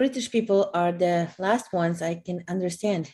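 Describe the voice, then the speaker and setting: With a Polish accent, a woman talks at a moderate pace in a medium pitch, her tone dark and mellow. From Poland. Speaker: co-host. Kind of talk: live stream chat. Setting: video call live stream.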